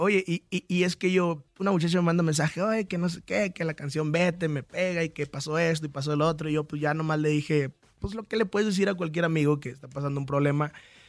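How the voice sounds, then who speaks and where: Very fast speech with hardly any pauses, fairly even intonation, and a dry, close sound without echo. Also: man, fairly high pitch for a man. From Michoacán, Mexico. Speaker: singer. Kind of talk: radio interview. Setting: radio studio.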